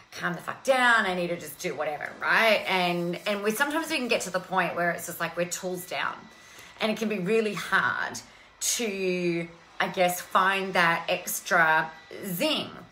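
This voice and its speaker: Light background noise runs under the recording. A woman talks at a moderate pace, her pitch varying in an ordinary way. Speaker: coach hosting a live stream. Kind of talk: casual motivational live-stream chat. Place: home room. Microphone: earbuds.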